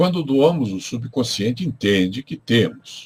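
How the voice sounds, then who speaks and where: Using very wide pitch swings, a man talks at a moderate pace. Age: 70s. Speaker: spiritual teacher. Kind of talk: lecture. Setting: livestream from home. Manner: reads from notes.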